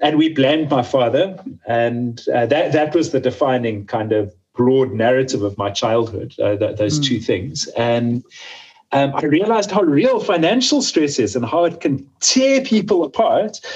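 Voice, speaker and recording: A man's somewhat breathy, fairly high voice with lively intonation, very even loudness and a moderate pace. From South Africa, Johannesburg. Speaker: communication strategist. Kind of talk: interview.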